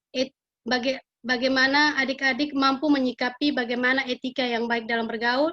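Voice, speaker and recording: Monotone, flat delivery from a woman at a high pitch, moderate in pace, in a Kupang accent. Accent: local Kupang. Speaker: school counselor. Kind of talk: classroom guidance lesson. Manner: halting, many fillers.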